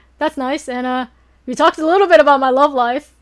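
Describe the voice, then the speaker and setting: Over a very clean recording with a silent background, a woman speaks at a high pitch and a very fast pace. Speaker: streamer. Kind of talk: casual chat. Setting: live stream.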